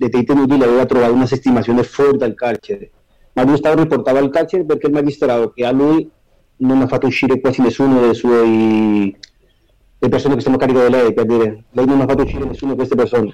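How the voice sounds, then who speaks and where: The voice has a dark, mellow tone and a very fast pace. Its loudness is very even, and its intonation is fairly even. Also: man. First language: Spanish (speaking Italian). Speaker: prisoner on day release. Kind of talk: interview.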